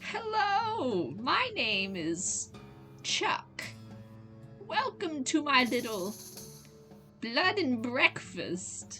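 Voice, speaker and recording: Someone speaks very slowly in a put-on character voice while music plays clearly in the background. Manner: creepy, odd emphasis.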